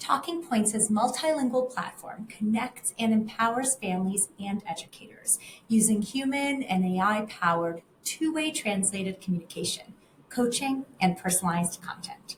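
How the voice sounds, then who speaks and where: A woman with a normal speaking voice, fairly high pitch, moderate pace and lively intonation. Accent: American. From family emigrated from Russia to the US. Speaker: interview host, communications director. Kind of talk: interview. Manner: scripted introduction.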